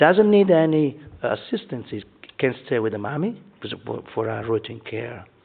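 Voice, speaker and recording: A man at a medium pitch talks at a moderate pace, with very wide pitch swings and big swings in loudness. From Italy. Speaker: neonatologist. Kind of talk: conference talk.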